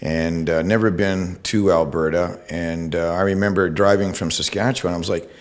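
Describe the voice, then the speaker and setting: A man with a very deep, low pitch speaks at a moderate pace in fairly even intonation. He leaves hardly any pauses, and audible room echo fills the space. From Ontario, Canada. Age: 60s. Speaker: retired TV news reporter. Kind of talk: public talk. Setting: talk to an audience. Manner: casual, hesitant with fillers.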